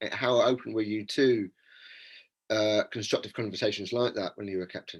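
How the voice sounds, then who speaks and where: An unremarkable speaking voice with fairly even intonation at a moderate pace, over a quiet background. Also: man. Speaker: podcast host. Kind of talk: podcast interviewer questions.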